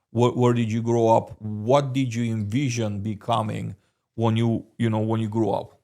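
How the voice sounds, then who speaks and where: With a Romanian accent, a man speaks at a medium pitch and moderate pace in a dark, mellow tone with monotone, flat intonation. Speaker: podcast host. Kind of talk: interview. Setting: in person studio. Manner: hesitant, many fillers.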